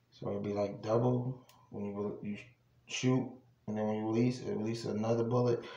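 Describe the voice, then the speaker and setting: In an American accent, a man speaks at a fairly quick pace with monotone, flat intonation, and the room echo is audible. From New Jersey. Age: 20s. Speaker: YouTuber. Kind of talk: casual vlog showing a purchase. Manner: casual, rambling with fillers. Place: home room. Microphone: phone near.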